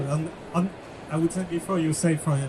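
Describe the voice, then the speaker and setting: Over noticeable background noise, a man with a French accent speaks in a high voice at a moderate pace with fairly even intonation. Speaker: software company executive. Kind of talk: live panel interview. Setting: stage with audience.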